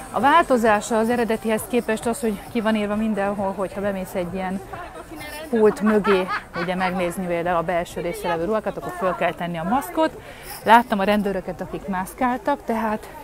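Over crowd noise in the background, a woman talks at a fairly quick pace with ordinary pitch variation, the sound dry with no echo. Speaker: vlogger. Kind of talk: casual vlog chat. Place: market. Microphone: earbuds.

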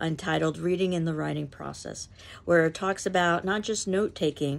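Her pitch fairly low and her intonation fairly even, a woman speaks. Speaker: literature instructor. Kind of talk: lecture. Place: home room. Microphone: phone near.

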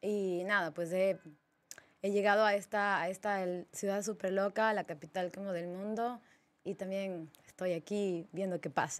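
In a monotone, flat intonation, a woman speaks at a fairly slow pace. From Ecuador, Ambato; Ecuador. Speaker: DJ; podcast guest, DJ. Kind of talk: casual interview chat. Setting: studio. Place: studio. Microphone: studio mic.

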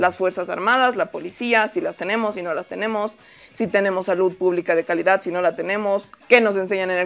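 At a very fast pace, a woman talks with medium pitch and ordinary pitch variation. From Bolivia. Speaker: TV panelist. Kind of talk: panel debate. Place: studio. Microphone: lapel.

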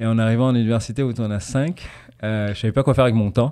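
A man with a dark, mellow tone speaks fairly quickly in quiet surroundings, his pitch rising and falling normally. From Tanzania, raised in Paris and English boarding school; Tanzania. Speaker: business manager for artists; podcast guest. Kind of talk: casual interview. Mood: relaxed, friendly. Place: studio. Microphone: studio mic.

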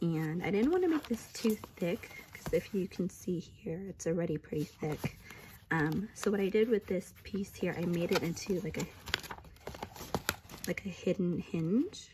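Over noticeable background noise, a woman speaks at a moderate pace and medium pitch with ordinary pitch variation. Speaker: crafter. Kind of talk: casual craft project share to camera. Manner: hesitant, many fillers.

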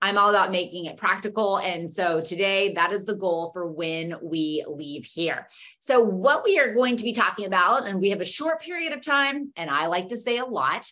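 With hardly any pauses, a woman speaks at a moderate pace and her pitch swings very widely. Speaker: presenter. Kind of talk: webinar lecture. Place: home room. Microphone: webcam.

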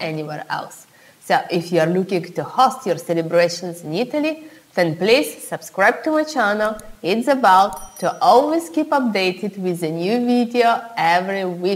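A woman's pitch swings very widely as she talks at a moderate pace. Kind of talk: tutorial. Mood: warm, friendly. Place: home room.

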